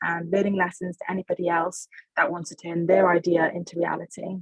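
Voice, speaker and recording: Fairly quick and at a medium pitch, a woman speaks with a Welsh accent in a dry, close sound with no echo. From Wales. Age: 20s. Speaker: social enterprise founder. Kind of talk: webinar panel discussion.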